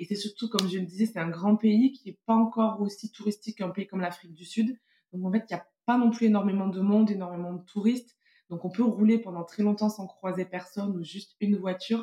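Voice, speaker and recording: A woman speaks in a somewhat breathy voice with big swings in loudness and fairly even intonation. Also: medium pitch for a woman, fairly quick pace. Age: 30s. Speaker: parent and travel guest. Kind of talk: casual interview.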